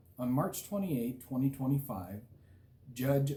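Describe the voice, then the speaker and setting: This man has a dark, mellow, somewhat breathy tone at a medium pitch. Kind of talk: prepared statement. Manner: clear, unimpaired speech.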